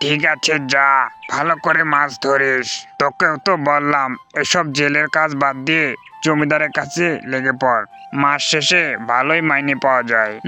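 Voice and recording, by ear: A man uses a cartoonish character voice with fairly high pitch, fairly even intonation and a moderate pace. His loudness stays very even over clear background noise.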